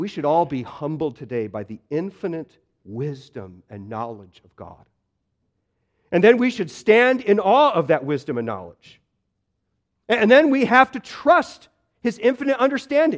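A man's high voice at a moderate pace, with very wide pitch swings, big swings in loudness, and long, frequent pauses. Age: 40s. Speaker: pastor. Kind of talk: sermon. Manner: repeats words, halting starts.

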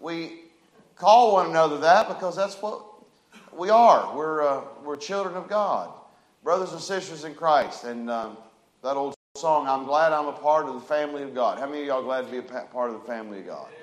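Loud and booming, the voice carries ordinary pitch variation with audible room echo. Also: man, fairly high pitch for a man, moderate pace.

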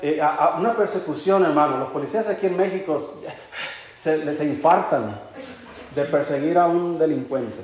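Over noticeable background noise, a man talks in an animated tone with a fairly high pitch and ordinary pitch variation. Long, frequent pauses break up his speech. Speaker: preacher. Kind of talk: sermon. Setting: church. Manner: animated, earnest preaching with rhetorical questions and storytelling; warm, conversational, with occasional laughter.

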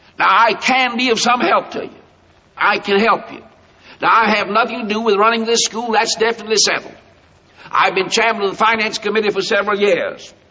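This man talks at a fairly quick pace with an American accent, his pitch high for a man. His intonation stays monotone and flat over noticeable background noise. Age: 60s. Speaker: preacher and school founder. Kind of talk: sermon. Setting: chapel platform with student audience. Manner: emphatic.

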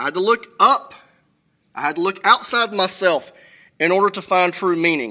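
A man uses a raised, projected voice with a bright, sharp tone and high pitch. He speaks at a moderate pace with ordinary pitch variation and long, frequent pauses. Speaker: pastor. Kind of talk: sermon. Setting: church. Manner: self-deprecating, humorous.

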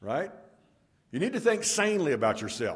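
This man's pitch swings very widely as he talks at a very fast pace. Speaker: pastor. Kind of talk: church announcements; sermon. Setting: church.

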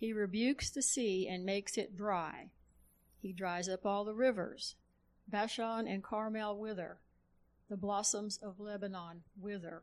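A woman with a plain, everyday voice speaks at a fairly slow pace, medium in pitch and fairly even in intonation, in a very clean recording with a silent background. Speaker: congregation member reading scripture. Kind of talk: reading aloud.

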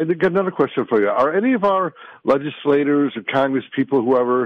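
A man with an American accent uses lively intonation in an unremarkable speaking voice. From US Midwest, Wisconsin. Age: 60s. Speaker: caller, retired veteran. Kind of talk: call-in radio question. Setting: phone call.

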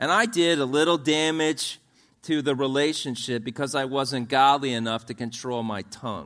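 A man's unremarkable speaking voice, fairly high, with ordinary pitch variation, on a very clean recording with a silent background. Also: moderate pace. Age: 50s. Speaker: pastor. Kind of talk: sermon. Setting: church.

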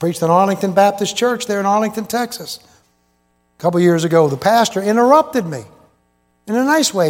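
A man's high-pitched voice, animated in tone, with lively intonation. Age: 70s. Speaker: preacher. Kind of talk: sermon. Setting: church.

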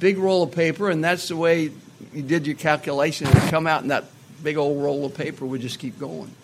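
Noticeable background noise sits behind a man speaking at a fairly quick pace. His pitch is fairly high, and his intonation stays fairly even. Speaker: evangelist. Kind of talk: sermon. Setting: church.

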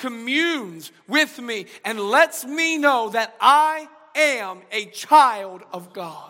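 A man talks in a raised, projected voice. The intonation is lively throughout. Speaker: pastor. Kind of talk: sermon. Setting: church. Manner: subdued, low volume.

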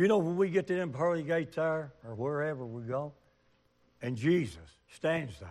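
Animated in tone, a man with a Southern US accent talks at a moderate pace with very wide pitch swings. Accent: US South. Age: 70s. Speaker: preacher. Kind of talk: sermon. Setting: church.

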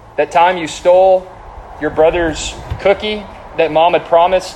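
Against noticeable background noise, a man speaks at a moderate pace in a high pitch with monotone, flat intonation. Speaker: preacher. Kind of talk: sermon. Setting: stage with audience.

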